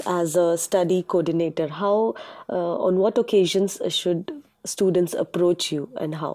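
A woman speaks in a medium pitch with a dark, mellow tone. The background is quiet. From India. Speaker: student interviewer. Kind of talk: interview. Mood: polite, friendly. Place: studio. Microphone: lapel.

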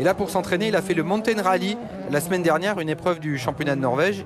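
A man is speaking. Music plays in the background. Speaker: rally expert co-commentator. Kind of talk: live race commentary. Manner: explanatory, knowledgeable.

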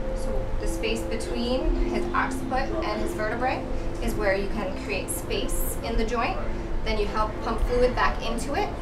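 A woman's speech comes through loud background noise. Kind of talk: explanation while treating a client.

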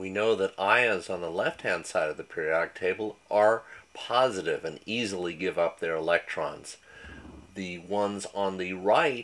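A man with an ordinary speaking voice at a fairly low pitch. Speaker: high school chemistry teacher. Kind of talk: educational lecture narration.

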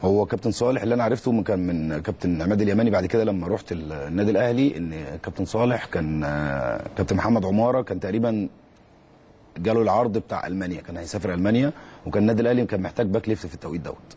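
A man talks very fast, his fairly low voice showing ordinary pitch variation. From Egypt. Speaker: former footballer and youth coach; guest. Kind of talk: interview; interview answer. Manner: halting, with repeated words. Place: studio. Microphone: lapel.

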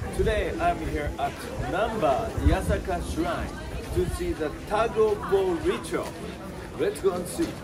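A man at a fairly slow pace, with crowd noise in the background. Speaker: presenter. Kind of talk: travel commentary. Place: street.

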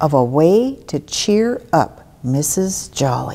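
This woman's voice is very deep and low in pitch, with a dark, mellow tone. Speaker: storyteller. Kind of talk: children's story read-aloud. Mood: warm, gentle storytelling. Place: church.

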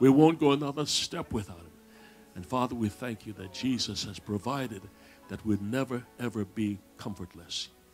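Faint music plays behind a man who talks at a moderate pace. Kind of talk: public prayer. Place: church.

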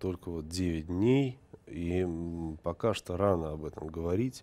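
This man has a dark, mellow tone and a very deep, low pitch, with ordinary pitch variation and a very slow pace. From Moscow, Russia; Russia. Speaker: TV journalist. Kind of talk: interview. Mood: subdued, mourning. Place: studio. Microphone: lapel.

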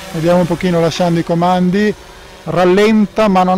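Over light background noise, a man speaks with fairly even intonation in a dry sound with no echo. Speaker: drone reviewer pilot. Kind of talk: live commentary. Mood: relaxed, lightly joking. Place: open country.

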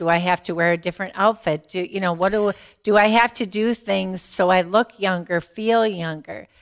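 A woman speaks in an ordinary speaking voice at a moderate pace with fairly even intonation, on a very clean recording with a silent background. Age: 60s. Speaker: diversity and inclusion director. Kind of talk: casual chat.

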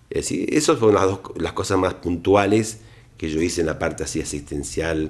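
A man speaks with lively intonation. Vocal fry runs through his voice. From Argentina. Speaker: plastic surgeon. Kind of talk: interview. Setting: doctor's office. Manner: halting. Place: office.

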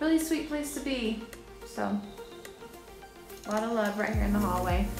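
A woman speaks with ordinary pitch variation over clear background music. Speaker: home tour vlogger. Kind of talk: casual vlog chat. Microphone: phone near.

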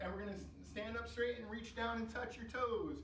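A man with an extremely high pitch talks at a fairly quick pace. Light background noise and audible room echo are present. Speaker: fitness coach. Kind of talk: exercise class instruction. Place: gym. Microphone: camera far.

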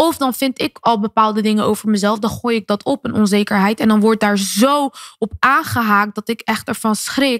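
A woman speaks at a moderate pace with hardly any pauses and fairly even intonation. The sound is dry with no echo, and the background is quiet. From Netherlands, Rotterdam; Netherlands. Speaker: singer and influencer; podcast guest. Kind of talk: interview. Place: studio. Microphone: studio mic.

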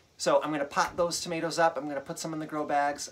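At a fairly quick pace, a man delivers his words. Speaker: home gardener vlogger. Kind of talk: casual vlog chat. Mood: chatty, good-humoured. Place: home room. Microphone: phone near.

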